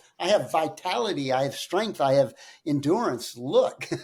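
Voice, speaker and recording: A man's fairly high, somewhat breathy voice with lively intonation at a fairly slow pace. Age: 60s. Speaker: personal trainer and gym owner. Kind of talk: podcast interview. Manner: hesitant with fillers.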